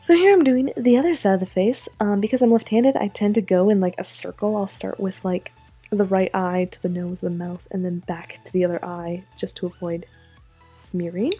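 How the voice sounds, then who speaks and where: A woman speaks at a moderate pace and medium pitch, her pitch varying in an ordinary way. Her loudness swings widely over background music. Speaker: art youtuber. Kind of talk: voiceover commentary over drawing video. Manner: casual, filler-heavy.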